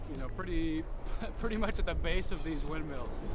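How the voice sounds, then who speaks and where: A man speaks with a dry sound and no echo. Loud background noise runs behind him. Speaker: travel vlogger. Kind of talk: casual vlog chat. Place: open country. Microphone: phone near.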